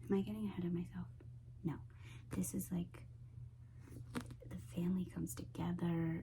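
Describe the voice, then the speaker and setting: A woman whispers in a soft-spoken way at a moderate pace. Long, frequent pauses break up her speech. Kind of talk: ASMR book haul talk to camera. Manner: soft-spoken, whispery.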